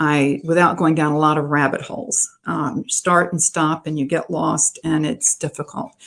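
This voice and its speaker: In a very clean recording with a silent background, a woman with a very deep, low pitch speaks at a moderate pace with ordinary pitch variation and hardly any pauses. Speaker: author giving a library talk. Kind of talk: presentation to a writers' group. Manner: halting with fillers.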